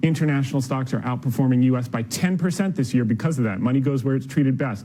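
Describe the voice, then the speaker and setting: Here is a man with a plain, everyday voice at medium pitch. His intonation is lively. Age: 40s. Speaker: stock market commentator. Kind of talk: TV interview. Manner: fast, punchy.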